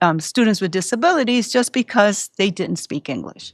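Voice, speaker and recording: On a very clean recording with a silent background, a woman speaks in a Puerto Rican accent. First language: Spanish. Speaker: school psychologist. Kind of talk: interview.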